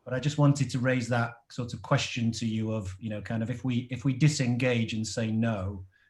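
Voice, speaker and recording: A man with an English accent talks at a fairly quick pace in a medium pitch. His voice is somewhat breathy, and his intonation stays fairly even. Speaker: product and packaging designer. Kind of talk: audience question in online panel. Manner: hesitant, many fillers.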